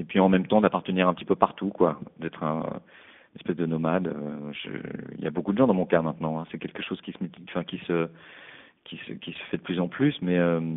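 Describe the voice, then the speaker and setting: At a fairly quick pace, a man with a very deep, low pitch speaks in big swings of loudness, broken by long, frequent pauses. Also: ordinary pitch variation. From Paris, France. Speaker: musician. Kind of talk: interview. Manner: halting.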